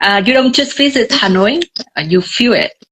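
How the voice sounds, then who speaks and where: A woman speaks in a bright, sharp tone with very wide pitch swings. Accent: Vietnamese. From Vietnam. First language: Vietnamese. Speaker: tour guide. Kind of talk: live video chat. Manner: hesitant, many fillers.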